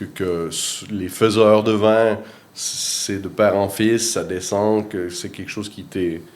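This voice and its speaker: Speaking very slowly in a fairly low pitch, a man keeps a monotone, flat delivery while his loudness swings widely, with audible room echo around him. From Quebec, Rimouski (eastern Quebec). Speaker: winemaker. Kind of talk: interview. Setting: at a winery in Switzerland. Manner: hesitant, many fillers and repetitions.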